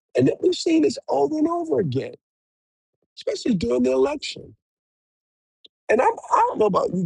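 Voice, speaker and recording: Dry and close with no echo, the recording captures a man in an animated tone at a fairly quick pace, leaving long, frequent pauses. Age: 60s. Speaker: political commentator, livestreamer. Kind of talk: live monologue. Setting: live stream.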